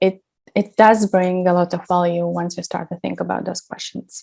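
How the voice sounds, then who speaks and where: A woman's medium-pitched voice with a non-native accent, dark and mellow in tone, flat and monotone in intonation, at a moderate pace. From Latvia. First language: not English. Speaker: branding specialist. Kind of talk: workshop presentation. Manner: hesitant, many fillers.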